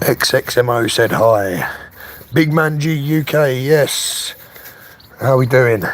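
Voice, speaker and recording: The speaker has a London accent and a relaxed tone with ordinary pitch variation. Noticeable background noise is present. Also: man. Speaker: RC car youtuber. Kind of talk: casual live stream chat. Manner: relaxed, chatty.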